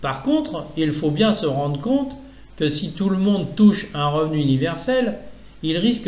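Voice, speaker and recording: Noticeable background noise fills the recording. Over it, the intonation is lively. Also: man. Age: 60s. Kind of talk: reading of own essay on economics.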